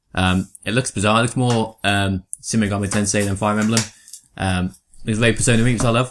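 A man with an English accent and a fairly low voice speaks at a very fast pace with fairly even intonation over a quiet background. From England. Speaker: podcast co-host. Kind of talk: casual chat.

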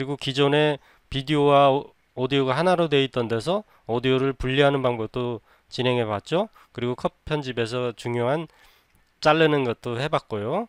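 Recorded very cleanly against a silent background, the sound is dry and close with no echo. A man speaks at a moderate pace and medium pitch, with ordinary pitch variation. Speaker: video editing tutor. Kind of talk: tutorial. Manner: unscripted, conversational.

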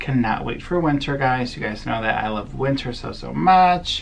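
The speaker talks at a moderate pace over light background noise. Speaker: vlogger. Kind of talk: casual vlog chat. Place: office. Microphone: phone near.

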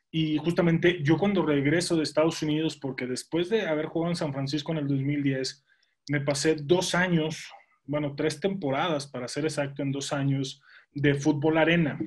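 Over a quiet background, a man with a fairly high pitch and a somewhat breathy voice talks at a moderate pace with fairly even intonation. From Mexico, Monterrey; Nuevo León, Mexico. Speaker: former pro football player and sports commentator; guest. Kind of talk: interview. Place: home room. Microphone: video call.

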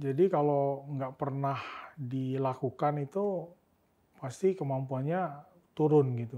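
A man speaks at a very slow pace, his pitch fairly high for a man. His tone is dark and mellow, and his intonation fairly even. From Pontianak, West Kalimantan, Indonesia; West Kalimantan, Indonesia. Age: 30s. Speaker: tech company co-founder; guest. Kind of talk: interview; interview answer. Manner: halting. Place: studio. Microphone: studio mic.

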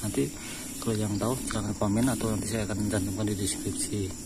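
Against clear background noise, a man talks at a moderate pace with a fairly low pitch.

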